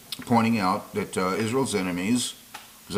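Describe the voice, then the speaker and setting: The speech moves at a moderate pace with fairly even intonation, over noticeable background noise. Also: man. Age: 60s. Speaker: YouTube commentator. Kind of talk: monologue to camera.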